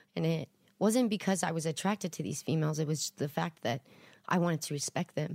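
Speaking at a very fast pace with an American accent, a woman has a very deep, low pitch and ordinary pitch variation, and the sound is dry and close with no echo. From Texas (League City, Houston area). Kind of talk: casual chat.

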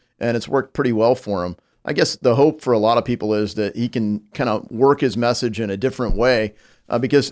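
A man's medium-pitched voice with a Midwestern American accent, very fast pace and fairly even intonation, on a very clean recording with a silent background. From US Midwest. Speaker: congressman. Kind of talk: casual chat. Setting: studio.

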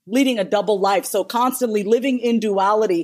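A woman's fairly high-pitched voice in an animated tone, at a fairly quick pace, on a very clean recording with a silent background. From New York, Indian immigrant family. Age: 30s. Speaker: therapist and business strategist. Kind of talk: casual chat.

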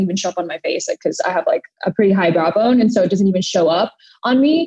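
Speaking at a very fast pace, a woman has a medium-pitched, somewhat breathy voice with a dark, mellow tone and a dry, close sound with no echo. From Thailand, moved to US at seven. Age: 20s. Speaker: beauty brand founder. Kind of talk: interview.

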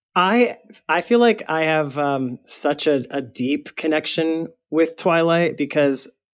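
Over a quiet background, a man with a normal speaking voice and an American accent speaks at a fairly slow pace with ordinary pitch variation. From Michigan. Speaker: fan trivia contestant. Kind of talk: casual interview.

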